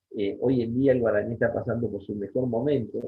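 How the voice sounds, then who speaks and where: A man speaks at medium pitch and a moderate pace. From Rosario, Santa Fe, Argentina. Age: 60s. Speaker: Guaraní language and culture teacher. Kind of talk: interview. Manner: halting, many fillers and repetitions.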